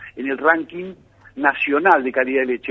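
At a fairly quick pace, a man talks in a normal speaking voice, his pitch varying in an ordinary way. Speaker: dairy sector analyst. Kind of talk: radio report.

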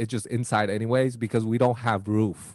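A man with a Chinese accent. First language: Mandarin. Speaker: podcast co-host. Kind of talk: casual chat.

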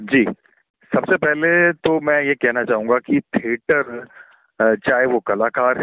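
This is an ordinary speaking voice from a man at a medium pitch with ordinary pitch variation. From Faridabad, Haryana (Garhwali family). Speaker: theatre director and actor. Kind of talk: interview.

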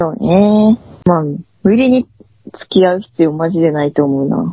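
A woman with a fairly low pitch and a somewhat breathy voice speaks at a moderate pace with lively intonation, leaving long, frequent pauses. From Tohoku, Aomori Prefecture. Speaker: podcast co-host. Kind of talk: casual chat.

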